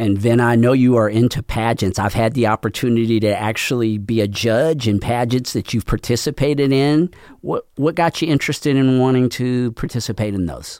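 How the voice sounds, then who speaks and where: A man with a plain, everyday voice at medium pitch, fairly quick and with hardly any pauses, ordinary pitch variation, in a dry, close, very clean recording with a silent background and no echo. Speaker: podcast host and nonprofit chamber director. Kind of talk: radio interview show.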